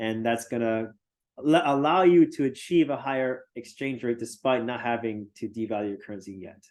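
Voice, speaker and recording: Against a quiet background, a man uses an ordinary speaking voice. His pitch is medium and his pace moderate. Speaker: university lecturer. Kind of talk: lecture.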